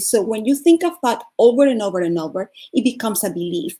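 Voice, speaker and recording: The voice carries a dark, mellow tone and a Venezuelan accent at a fairly quick pace on a very clean recording with a silent background. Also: woman. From Venezuela (Caracas). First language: Spanish. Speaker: life coach and speaker. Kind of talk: motivational talk.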